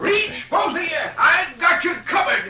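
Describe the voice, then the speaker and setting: Using a put-on character voice, a man talks at a moderate pace with audible echo. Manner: commanding, threatening.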